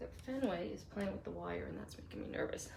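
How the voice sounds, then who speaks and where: Bright and sharp in tone, a woman with an American accent speaks with vocal fry. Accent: slight Boston accent noticed by viewers. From Boston. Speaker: craft live streamer. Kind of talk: live craft tutorial. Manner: casual, chatty.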